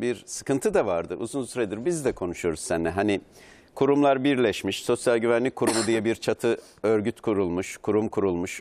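Using a normal speaking voice, a man talks at a moderate pace with fairly low pitch and lively intonation. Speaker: news guest. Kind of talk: interview answer. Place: studio.

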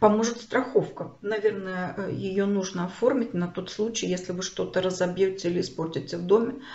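A woman with a plain, everyday voice talks at a medium pitch with ordinary pitch variation and hardly any pauses. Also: moderate pace. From Kharkiv, Ukraine. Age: 60s. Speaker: video blogger, refugee. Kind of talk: personal storytelling to camera. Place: home room. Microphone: phone near.

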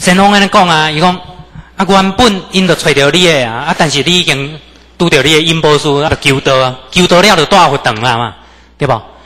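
The speech moves at a fairly quick pace with ordinary pitch variation. Noticeable background noise is present. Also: man, fairly high pitch for a man. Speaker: religious lecturer. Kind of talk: religious lecture with personal testimony. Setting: temple lecture hall with audience.

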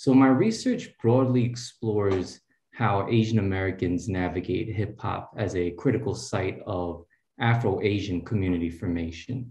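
Somewhat breathy, with a dark, mellow tone and fairly low pitch, a man speaks at a moderate pace with ordinary pitch variation amid audible room echo. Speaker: postdoctoral researcher; speaker. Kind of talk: tribute speech. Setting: video call. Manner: warm, casual. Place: home room. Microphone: video call.

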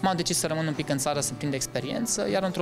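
A man talks with ordinary pitch variation while clear music sounds in the background. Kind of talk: interview answer. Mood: earnest, calm. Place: office.

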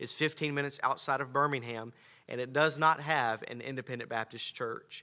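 Over a quiet background, a man with an American accent speaks at a moderate pace in a bright, sharp tone with fairly even intonation. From North Carolina. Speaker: pastor and church planter. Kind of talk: missionary church presentation. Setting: church. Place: church. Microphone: podium.

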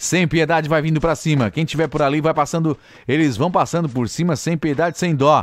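Dry and without echo, a man's fairly high voice comes across animated and fairly quick, with very even loudness. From Brazil. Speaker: esports commentator. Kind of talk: esports live commentary. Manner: fast, excitable play-by-play, rising in intensity at kills; animated, joking, teasing tone. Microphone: studio mic.

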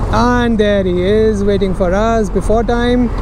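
The voice has a dry sound with no echo, with noticeable background noise behind it. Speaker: motorcycle touring vlogger. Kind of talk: casual vlog chat. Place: motorbike. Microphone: helmet.

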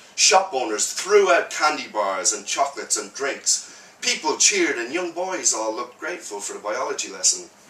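With audible room echo, a man talks at a moderate pace, his loudness swinging widely. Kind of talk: live prose reading. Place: cafe. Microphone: camera far.

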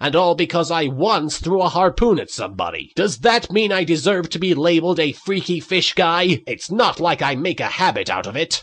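A man puts on a character voice pitched high. He talks at a moderate pace with hardly any pauses. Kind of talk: comic parody voice acting. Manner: dramatic, earnest, self-pitying.

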